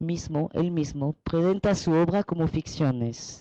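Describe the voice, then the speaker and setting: Very slow delivery comes from a woman with a strong non-native accent. Her tone is dark and mellow, with ordinary pitch variation. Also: dry, close sound with no echo. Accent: strong foreign. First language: French (speaking Spanish). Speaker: researcher and translator. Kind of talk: presentation. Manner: halting.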